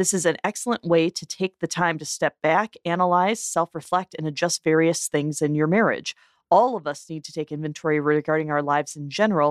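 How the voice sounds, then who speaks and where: At a fairly quick pace, a plain, everyday voice with ordinary pitch variation comes through a very clean recording with a silent background and a dry, close sound with no echo. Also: woman. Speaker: podcast co-host. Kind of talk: casual podcast discussion. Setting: studio.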